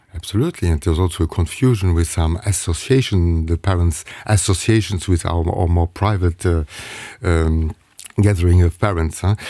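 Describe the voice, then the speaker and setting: Over noticeable background noise, a man with a very deep, low voice talks at a moderate pace with fairly even intonation. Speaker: parent representative and psychotherapist. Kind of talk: radio interview. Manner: halting.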